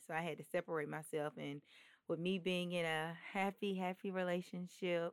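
A woman with a fairly low pitch speaks in a monotone, flat intonation, recorded very cleanly against a silent background. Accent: Alabama. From Birmingham, Alabama, US South. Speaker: model. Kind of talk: casual chat.

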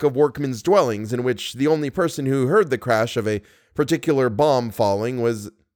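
Reading aloud in a natural voice is what this clip contains.

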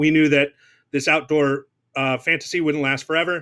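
Fairly high-pitched male voice with an American accent and fairly even intonation, on a very clean recording with a silent background. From Southern California. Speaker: chef and restaurant owner. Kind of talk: casual interview.

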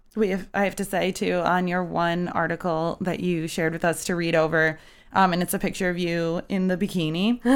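A woman talks at a fairly quick pace with a fairly low pitch and a monotone, flat intonation. The recording is very clean, with a silent background. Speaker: podcast host. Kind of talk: casual chat. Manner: joking, playful.

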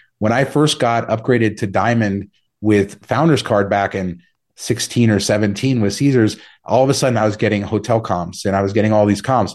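With a General American accent, a man speaks fairly quickly in an unremarkable speaking voice, fairly low in pitch, with fairly even intonation and very even loudness against a quiet background. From Las Vegas, Nevada. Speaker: travel rewards blogger and podcaster. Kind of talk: casual interview.

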